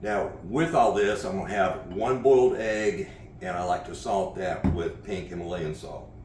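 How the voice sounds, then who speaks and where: Noticeable background noise and audible room echo fill the recording. A man speaks through it at a moderate pace. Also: ordinary pitch variation. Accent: American. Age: 60s. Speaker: horseman and martial arts coach. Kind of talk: cooking tutorial vlog. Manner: casual, conversational with filler uhs.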